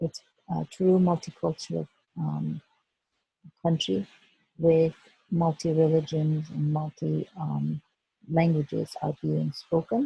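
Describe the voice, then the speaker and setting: A woman with a Turkish accent at a very slow pace with long, frequent pauses, in a dry, close sound with no echo. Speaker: educator. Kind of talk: presentation. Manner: halting, many fillers.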